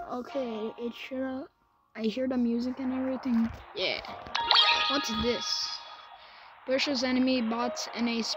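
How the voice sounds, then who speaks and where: Moderate pace with ordinary pitch variation, long and frequent pauses, music in the background, and a dry sound with no echo. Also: woman. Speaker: gamer. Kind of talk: casual gameplay commentary.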